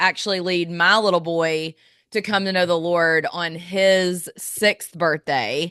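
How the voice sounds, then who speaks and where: In an Alabama accent, a woman speaks at a medium pitch in a bright, sharp tone, the sound dry and close with no echo over a quiet background. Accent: Southern US (Alabama). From US South, Birmingham, Alabama. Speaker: lifestyle blogger. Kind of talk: podcast interview.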